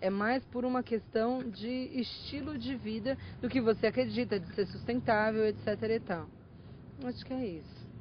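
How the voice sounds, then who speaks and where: A woman's fairly high voice with ordinary pitch variation at a fairly slow pace. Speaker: pediatric nutritionist. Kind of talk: interview answer.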